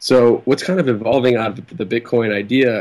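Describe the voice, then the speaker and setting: A man's ordinary speaking voice, an ordinary speaking voice at a moderate pace with ordinary pitch variation. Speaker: web developer and activist calling in. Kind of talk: call-in discussion.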